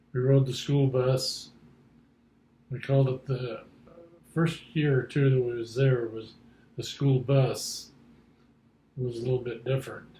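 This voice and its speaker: A man speaks with an American accent and a dark, mellow tone. His voice is somewhat breathy, with monotone, flat intonation. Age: 70s. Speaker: grandfather interviewed about his life. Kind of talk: oral history interview. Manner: halting.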